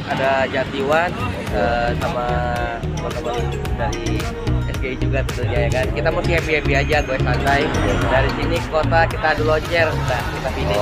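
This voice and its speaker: Loud music plays in the background as a man talks at a fairly quick pace. The sound is dry, with no echo. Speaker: interviewee. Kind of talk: interview answer. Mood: relaxed and cheerful. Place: street. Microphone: phone near.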